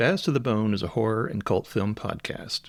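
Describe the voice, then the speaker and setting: A man's unremarkable speaking voice at medium pitch, with lively intonation, on a very clean recording with a silent background. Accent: American. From US South, South Carolina low country. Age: 60s. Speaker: podcast host. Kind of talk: podcast monologue.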